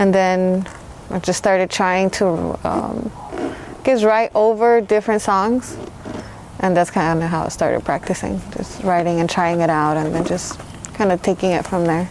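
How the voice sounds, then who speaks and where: A woman's medium-pitched voice at a moderate pace, with fairly even intonation over noticeable background noise. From Mexico, raised in Los Angeles. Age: 30s. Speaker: hip-hop artist. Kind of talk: interview. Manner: casual, hesitant with fillers.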